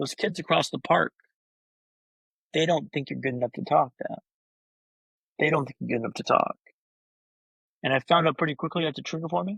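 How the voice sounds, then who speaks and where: A man's fairly high voice with vocal fry and ordinary pitch variation, at a fairly quick pace broken by long, frequent pauses. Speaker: brain injury survivor and speaker. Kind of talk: interview storytelling. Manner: fast.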